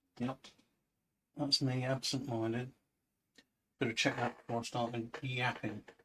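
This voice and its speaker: A soft-spoken man talks at a moderate pace in a bright, sharp tone with monotone, flat intonation. He leaves long, frequent pauses. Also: medium pitch for a man. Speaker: artist painting live. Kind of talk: live painting tutorial. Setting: livestream with chat.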